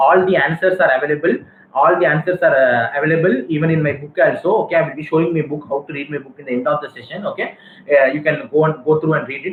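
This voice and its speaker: A man with a fairly high pitch speaks very fast against noticeable background noise. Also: big swings in loudness. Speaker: pulmonologist teaching medical students. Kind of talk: lecture.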